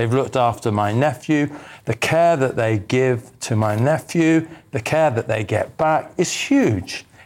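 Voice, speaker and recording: An unremarkable speaking voice, this man's medium pitch comes at a fairly slow pace with ordinary pitch variation and very even loudness, on a very clean recording with a silent background. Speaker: political commentator. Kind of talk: panel discussion. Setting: studio.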